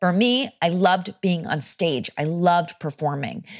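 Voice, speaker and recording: A woman with a plain, everyday voice, fairly low in pitch with ordinary pitch variation, at a fairly slow pace on a very clean recording with a silent background. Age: 30s. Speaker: actor and mental health advocate. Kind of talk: casual chat.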